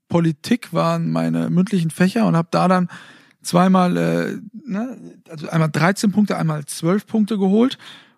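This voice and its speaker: The recording of this man is very clean with a silent background and a dry, close sound with no echo. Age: 20s. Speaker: sports TV presenter and podcast co-host. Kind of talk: casual chat. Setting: recording in bed at home.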